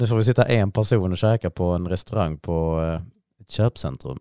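Very deep and low, a man's dark, mellow voice moves at a fairly quick pace in a very clean recording with a silent background and a dry, close sound with no echo. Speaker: podcast co-host. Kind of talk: casual chat.

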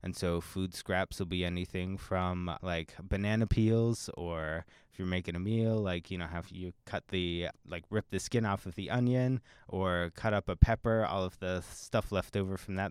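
Spoken at a moderate pace with an American accent and fairly even intonation, the speech has hardly any pauses. The sound is dry and close with no echo, in a very clean recording with a silent background. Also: man, very deep, low pitch for a man. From Pennsylvania. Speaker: university recycling program coordinator. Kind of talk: interview.

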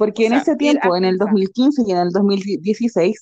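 Speaking with a Chilean accent, a woman keeps a medium pitch and a dark, mellow tone. She moves at a fairly slow pace with lively intonation. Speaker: podcast co-host. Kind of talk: casual chat. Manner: laughs often, overlapping talk.

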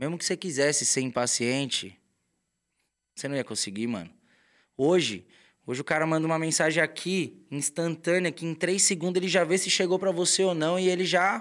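The speaker talks at a fairly quick pace with ordinary pitch variation, broken up by long, frequent pauses. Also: man, fairly high pitch for a man, very clean recording, silent background. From São Paulo, Brazil. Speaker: tattoo artist. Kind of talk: casual chat. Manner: animated.

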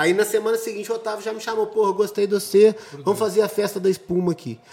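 Noticeable background noise surrounds the recording. A man speaks very fast through it. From Brazil, Juiz de Fora. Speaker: event organizer. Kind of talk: casual chat.

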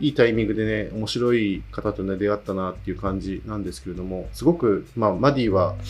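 A man's fairly low voice at a fairly quick clip, with ordinary pitch variation, big swings in loudness, hardly any pauses, and music in the background. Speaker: podcast host. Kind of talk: solo monologue. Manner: halting.

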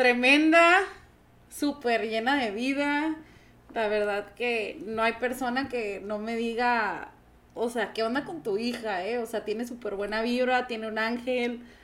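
In a Mexican accent, a woman talks at a fairly slow pace and fairly high pitch with ordinary pitch variation. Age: 30s. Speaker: entrepreneur. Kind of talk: casual chat.

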